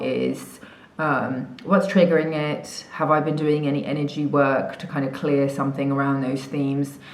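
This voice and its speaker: Amid noticeable background noise and audible room echo, a woman with an English accent and a very deep, low pitch speaks at a moderate pace. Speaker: spiritual coach. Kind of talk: casual vlog chat. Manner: casual, many fillers.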